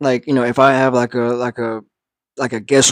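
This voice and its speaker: Recorded with a dry, close sound with no echo, a man speaks at a medium pitch in monotone, flat intonation. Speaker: talk show host. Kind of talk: livestream talk show intro. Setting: TikTok live stream. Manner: halting, many fillers.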